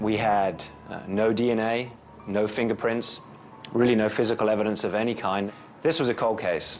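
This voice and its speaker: Music plays in the background behind a speaker with an English accent. The pace is moderate and the intonation fairly even. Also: man, medium pitch for a man. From England. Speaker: prosecutor. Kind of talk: interview.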